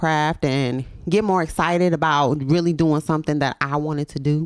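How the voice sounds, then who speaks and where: A woman with an American accent and a very deep, low pitch, fairly even intonation and a fairly quick pace, on a very clean recording with a silent background. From Memphis, US South. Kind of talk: casual chat. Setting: studio.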